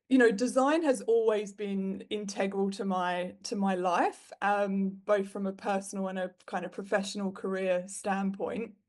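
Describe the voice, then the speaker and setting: A woman with a British accent speaks at a medium pitch and a fairly slow pace, with hardly any pauses. Her intonation stays fairly even. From UK. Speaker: web designer and business owner. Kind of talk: interview. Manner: conversational, with fillers.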